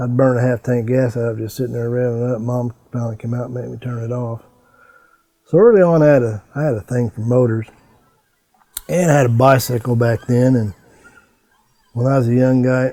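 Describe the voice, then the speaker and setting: With a southern Illinois accent, a man at medium pitch keeps his intonation fairly even and moves at a fairly quick pace, broken by long, frequent pauses. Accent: Midland US, southern Illinois. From US Midwest, southern Illinois. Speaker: veteran adventure motorcycle rider. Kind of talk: interview storytelling. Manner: halting, with fillers and repeats.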